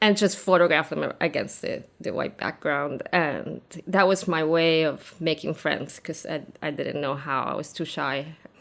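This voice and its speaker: A woman speaks slowly-ish, at a fairly slow pace, with vocal fry. Her pitch is very deep and low, with ordinary variation. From Argentina. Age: 50s. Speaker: photographer. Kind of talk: interview.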